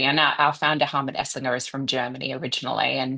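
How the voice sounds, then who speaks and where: A woman's very deep, low, bright and sharp voice with an Australian accent, monotone and flat, over a quiet background. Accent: Australian, noticeable. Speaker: design consultancy executive. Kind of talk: interview. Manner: many fillers and hesitations.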